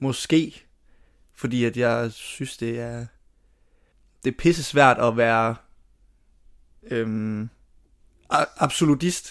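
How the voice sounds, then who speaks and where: A man speaks at a very slow pace with long, frequent pauses and fairly even intonation. The recording is very clean, with a silent background. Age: 20s. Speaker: drama student. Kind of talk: interview. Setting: family holiday house.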